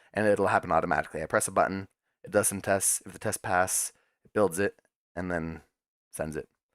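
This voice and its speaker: A man with a very deep, low pitch speaks at a fairly quick pace with fairly even intonation, long, frequent pauses and big swings in loudness, in a very clean, dry, close recording with a silent background and no echo. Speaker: live-streaming web developer. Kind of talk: casual live-stream talk while coding. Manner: fast; mumbling, words not enunciated.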